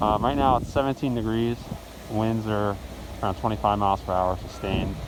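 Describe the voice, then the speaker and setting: With noticeable background noise, a man talks at a fairly quick pace. His pitch is fairly low, with ordinary variation. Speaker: weather vlogger. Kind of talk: outdoor weather update vlog. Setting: outdoors in a blizzard.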